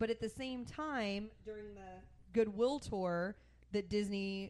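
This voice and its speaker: A woman talks in an ordinary speaking voice. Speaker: podcast co-host. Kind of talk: casual chat.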